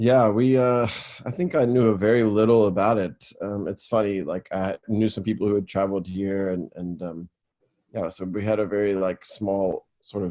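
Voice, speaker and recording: A man speaks with an American accent at a moderate pace. His tone is dark and mellow, and his intonation stays fairly even. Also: fairly low pitch for a man. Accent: American, noticed as non-South African. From US, Raleigh, North Carolina. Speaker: football academy founder and coach. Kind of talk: interview.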